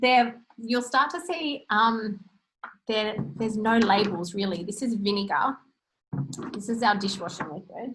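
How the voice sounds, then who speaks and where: A woman speaks with an Australian accent and a fairly high pitch. Her speech has long, frequent pauses. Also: ordinary pitch variation. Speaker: natural health practitioner. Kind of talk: webinar presentation. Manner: fast.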